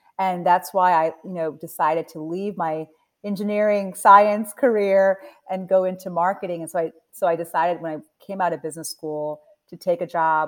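A woman speaks at a moderate pace in an ordinary speaking voice. Her pitch is fairly low and varies in an ordinary way. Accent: General American. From US Mid-Atlantic (Delaware). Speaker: nonprofit CEO. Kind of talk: interview.

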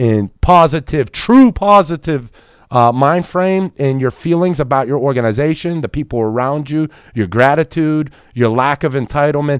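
An ordinary speaking voice from a man with an American accent, fairly high in pitch with ordinary pitch variation at a moderate pace, dry and close with no echo on a very clean recording with a silent background. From Pittsburgh, US. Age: 30s. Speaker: insurance business executive. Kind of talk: casual interview.

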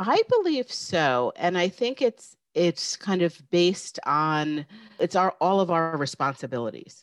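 In a New York accent, a woman speaks fairly slowly at a fairly low pitch with lively intonation. Her loudness stays very even, and the sound is dry and close with no echo. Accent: American, New York area. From New York State, small town north of the city. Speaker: business professor. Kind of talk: interview conversation.

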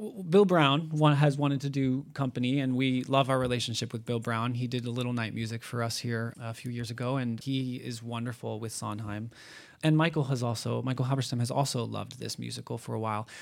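On a very clean recording with a silent background, a man with a normal speaking voice talks at a medium pitch and a fairly quick pace with hardly any pauses. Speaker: theatre staff member. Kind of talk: panel discussion. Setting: stage with audience.

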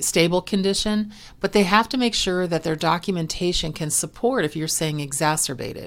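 A woman's normal speaking voice, fairly low in pitch, with ordinary pitch variation and a moderate pace. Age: 50s. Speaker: medical coding educator and podcast host. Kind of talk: educational podcast monologue.

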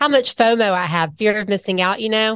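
A woman talks at a very fast pace in a Southern US accent. The background is quiet. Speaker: financial advisor. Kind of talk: casual chat. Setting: studio.

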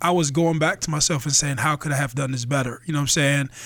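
The intonation stays fairly even. It is an ordinary speaking voice. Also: man. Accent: American. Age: 30s. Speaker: podcast co-host. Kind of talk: casual chat.

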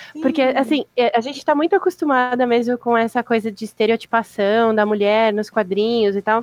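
An unremarkable speaking voice talks at a moderate pace with ordinary pitch variation. The sound is dry and close, with no echo. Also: woman. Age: 30s. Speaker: comics professional and fan. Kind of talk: casual chat.

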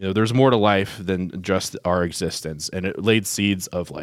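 A man's very deep, low voice with a Midwestern US accent, fairly even intonation and a moderate pace, on a very clean recording with a silent background. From Ohio, Columbus area. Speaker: diocesan media staff. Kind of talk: interview testimony.

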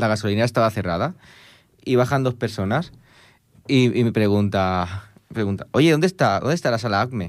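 This man has a medium pitch and lively intonation, moving at a fairly quick pace. His recording is very clean, with a silent background. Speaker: music radio host. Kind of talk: casual chat. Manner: fast, talkative.

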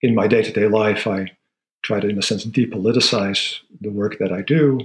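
Somewhat breathy, a man speaks at a medium pitch. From Netherlands. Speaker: sociology professor. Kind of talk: interview conversation.

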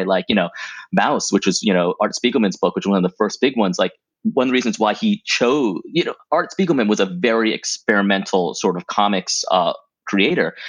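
Using an unremarkable speaking voice, a man talks at a fairly quick pace with a fairly low pitch and lively intonation. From Thailand and US, Thai American. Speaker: comic book writer and TV writer. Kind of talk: interview.

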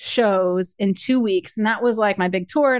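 A woman in an ordinary speaking voice, medium in pitch with ordinary pitch variation, at a moderate pace, with a dry, close sound with no echo and a quiet background. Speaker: financial coach and speaker. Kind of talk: casual interview chat.

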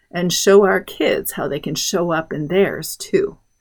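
In a very clean recording with a silent background, a woman with a normal speaking voice talks at a fairly low pitch and a fairly slow pace, with ordinary pitch variation. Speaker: podcast host, homeschool mom. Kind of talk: scripted solo podcast monologue.

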